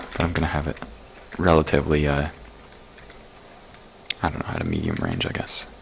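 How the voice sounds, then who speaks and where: A man with a very deep, low pitch, a monotone, flat intonation, a very fast pace and long, frequent pauses, over noticeable background noise. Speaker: gaming tutorial creator. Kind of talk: casual game tutorial commentary. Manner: casual, hesitant with fillers.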